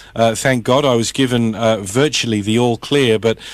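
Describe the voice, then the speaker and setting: A man speaks in an Australian accent at a medium pitch. His pace is moderate and his intonation fairly even. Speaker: radio host. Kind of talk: radio interview.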